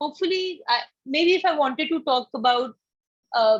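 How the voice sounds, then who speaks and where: With an Indian accent, a woman talks at a high pitch, and the sound is dry and close with no echo. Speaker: campaign coordinator presenting to volunteer mentors. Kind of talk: online orientation presentation. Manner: fast.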